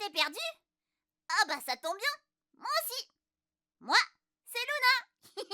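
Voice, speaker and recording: In a put-on character voice, a woman speaks at an extremely high pitch with a playful tone, very wide pitch swings, a fairly slow pace and long, frequent pauses. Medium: read story. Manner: giggly, playful.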